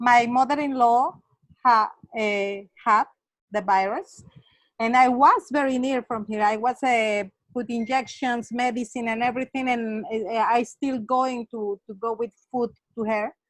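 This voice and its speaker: A woman with a Spanish accent speaks at a fairly slow pace in a high pitch with fairly even intonation. The sound is dry and close, with no echo. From Mexico, Acapulco. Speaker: webinar participant. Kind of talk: online discussion comment. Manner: halting, many fillers.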